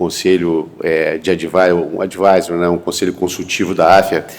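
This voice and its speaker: A man speaks against noticeable background noise. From Brazil, Rio de Janeiro state (Pádua, then Rio). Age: 60s. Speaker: physician, entrepreneur and investor. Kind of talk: panel talk at a medical congress. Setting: university auditorium with audience. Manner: conversational, with hesitations.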